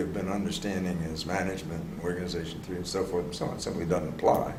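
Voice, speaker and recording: There is audible room echo around a man speaking with an American accent. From US, Philadelphia. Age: 70s. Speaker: organization development consultant. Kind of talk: interview conversation.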